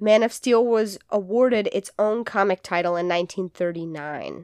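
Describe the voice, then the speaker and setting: In a plain, everyday voice, a woman speaks at a medium pitch and moderate pace, with a dry, close sound with no echo and a quiet background. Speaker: podcast co-host. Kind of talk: casual chat with storytelling segment. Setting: studio, in person with co-host.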